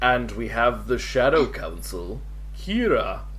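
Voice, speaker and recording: Someone performs a put-on character voice at a fairly slow pace, with clear background noise behind it. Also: man. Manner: dramatic, theatrical.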